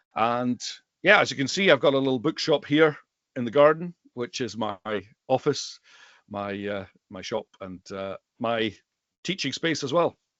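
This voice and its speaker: In a Highlands and Islands Scottish accent, a man with a medium pitch talks at a moderate pace with lively intonation, big swings in loudness and long, frequent pauses. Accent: Highland and Islands Scottish. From Scotland, Western Isles / Isle of Skye. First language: Scottish Gaelic. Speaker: rare book dealer and Gaelic teacher. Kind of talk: casual interview chat.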